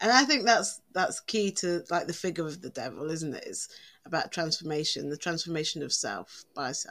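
A woman with an English accent speaks at a moderate pace in a fairly low pitch, using lively intonation, vocal fry and big swings in loudness. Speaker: podcast co-host, witch. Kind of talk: casual chat.

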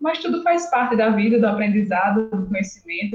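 Over music in the background, a woman with a northeastern Brazilian accent talks at a fairly quick pace in a medium pitch. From Brazil, Northeast (Alagoas). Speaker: entomology master's student and science communicator. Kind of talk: casual interview.

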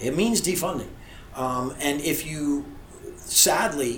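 Room echo and noticeable background noise surround a man speaking at a fairly high pitch. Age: 50s. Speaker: lawyer and political candidate. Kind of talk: interview.

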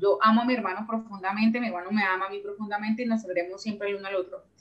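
A woman's fairly high voice, a plain, everyday voice, with ordinary pitch variation. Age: 30s. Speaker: entrepreneur. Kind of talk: interview.

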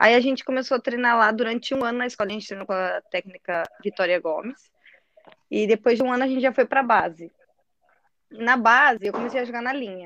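A woman's fairly high, bright, sharp voice comes through dry and close with no echo, with ordinary pitch variation. She speaks very fast but leaves long, frequent pauses. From Brazil, Curitiba. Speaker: football goalkeeper. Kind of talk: casual chat.

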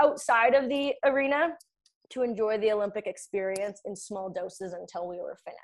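A woman talks with a Canadian Prairie accent. Her intonation is lively and her pace fairly quick. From Saskatchewan, Canada (rural ranch). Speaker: Olympic figure skater and performance coach. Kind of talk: casual interview.

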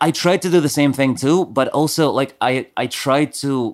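A man is heard in a very clean recording, the background silent. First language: not English. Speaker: podcast co-host. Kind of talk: casual chat.

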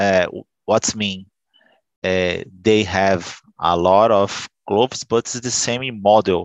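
A man with a Brazilian accent, fairly low in pitch, at a very slow pace with fairly even intonation, in a dry, close sound with no echo over a quiet background. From Brazil, São Paulo State coast. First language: Portuguese. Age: 40s. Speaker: telecom worker, language student. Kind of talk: group English conversation practice. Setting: video call.

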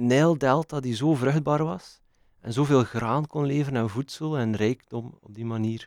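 Here a man talks at a medium pitch with ordinary pitch variation. His loudness swings widely. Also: fairly slow pace. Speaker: podcast co-host. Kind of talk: casual chat. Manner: halting.

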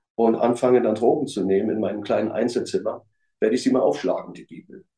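Dark, mellow male voice at a medium pitch, its pitch varying in an ordinary way. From East Berlin, Germany. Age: 50s. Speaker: former hooligan. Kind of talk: testimony.

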